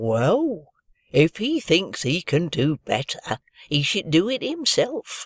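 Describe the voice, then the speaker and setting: A man does a put-on character voice, raspy and high-pitched, with very wide pitch swings. The pace is fairly slow, and the sound is dry and close with no echo. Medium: read story. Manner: loud, simple.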